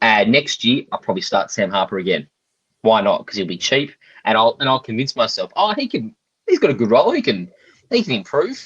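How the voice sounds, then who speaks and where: A man with an Australian accent talks fairly quickly, in a dry, close sound with no echo. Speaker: fantasy cricket podcast co-host. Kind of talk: casual chat. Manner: joking, conversational.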